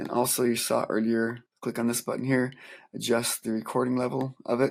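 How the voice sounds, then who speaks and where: Moderate in pace, a man's voice sits at a medium pitch. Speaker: music teacher. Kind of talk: tutorial.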